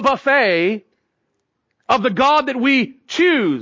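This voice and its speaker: A man speaks with an extremely high pitch. His intonation is lively. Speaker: preacher. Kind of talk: sermon. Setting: church. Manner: loud.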